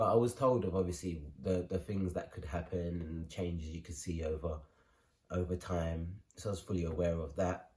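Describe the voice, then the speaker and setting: With a London accent, a man talks at a fairly quick pace in a very deep, low, somewhat breathy voice with fairly even intonation. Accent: London English, multicultural London. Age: 20s. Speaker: vlogger. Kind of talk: personal story vlog. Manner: casual, many fillers.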